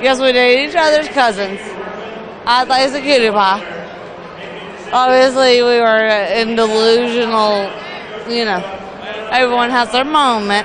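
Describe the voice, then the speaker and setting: A woman speaks at a high pitch and moderate pace, with a Southern US accent and long, frequent pauses. Noticeable background noise runs beneath her. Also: ordinary pitch variation. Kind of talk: interview answer.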